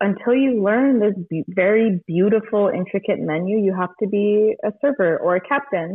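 In an unremarkable speaking voice, a woman talks at a fairly slow pace, with medium pitch and ordinary pitch variation. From California. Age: 20s. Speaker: bartender. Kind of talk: casual chat. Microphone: echoey room.

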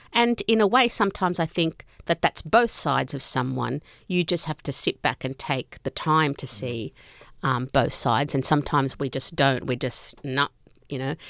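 A woman speaks in a very deep, low pitch at a moderate pace. The recording is very clean with a silent background, dry and close with no echo. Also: lively intonation. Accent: Australian. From Australia, Sydney, Italian family. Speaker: author. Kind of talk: interview. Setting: studio.

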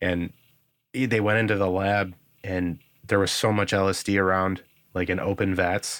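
In a very clean recording with a silent background, a man with a fairly low pitch speaks at a moderate pace in a monotone, flat intonation, with very even loudness and long, frequent pauses. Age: 30s. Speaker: guitarist and music producer. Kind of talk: casual chat.

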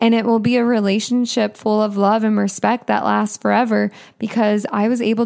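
At a moderate pace, a woman speaks with very even loudness. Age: 20s. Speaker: podcast host. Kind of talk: solo podcast monologue.

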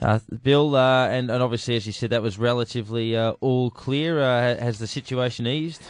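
Male voice, moderate tempo, intonation fairly level throughout. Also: medium pitch for a man, hardly any pauses. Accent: Australian. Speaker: radio host. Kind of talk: radio talk show. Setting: studio.

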